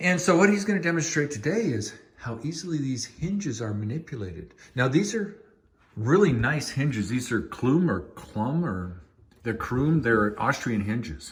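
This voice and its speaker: A man speaks at a medium pitch and a moderate pace, his voice somewhat breathy. His pitch swings very widely, and there is audible room echo. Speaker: homeowner vlogger. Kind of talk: casual chat. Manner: lowered voice at times.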